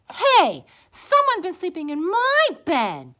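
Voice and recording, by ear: In a put-on character voice, a woman speaks slowly at an extremely high pitch, with a bright, sharp tone and very wide pitch swings.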